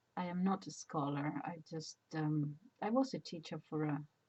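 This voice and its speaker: A somewhat breathy voice at a very slow pace with ordinary pitch variation. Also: woman. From Spain. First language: Spanish. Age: 70s. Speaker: retired teacher. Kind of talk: casual personal monologue. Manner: halting, many fillers.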